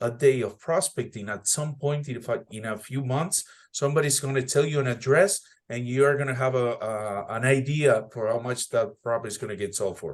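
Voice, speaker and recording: With a non-native accent, a man talks at a fairly quick pace. His pitch is medium, with ordinary variation. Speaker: real estate agent and mentor. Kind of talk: casual group meeting talk.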